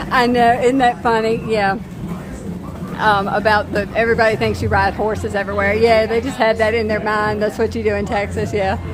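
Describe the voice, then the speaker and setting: A woman with a Southern accent speaks at a fairly quick pace in monotone, flat intonation. Audible room echo and noticeable background noise surround her. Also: fairly high pitch for a woman. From US South, southern Virginia. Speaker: family travel vlogger. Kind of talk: casual livestream chat. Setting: outdoors at a theme park. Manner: chatty.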